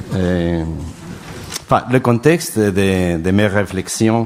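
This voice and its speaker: A man's fairly low voice with a non-native accent and ordinary pitch variation, set against noticeable background noise. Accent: foreign accent in French. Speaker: round-table speaker, philosopher. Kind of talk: conference talk.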